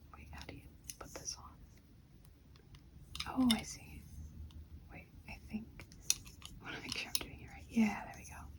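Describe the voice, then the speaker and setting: Whispered speech with long, frequent pauses comes through over noticeable background noise. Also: moderate pace. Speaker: ASMR creator. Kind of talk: ASMR soft-spoken lego build. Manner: soft-spoken.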